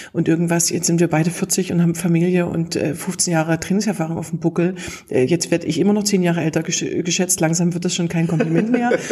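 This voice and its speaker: A woman's fairly low voice at a fairly quick pace over noticeable background noise. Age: 40s. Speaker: humor trainer and podcast host. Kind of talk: interview. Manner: lively, laughs often.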